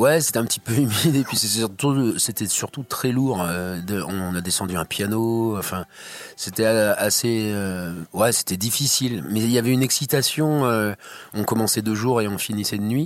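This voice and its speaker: Speaking at a fairly slow pace, a man with a medium pitch and ordinary pitch variation has a plain, everyday voice. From Brittany, France (near Guingamp). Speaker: musician. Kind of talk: interview. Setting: studio.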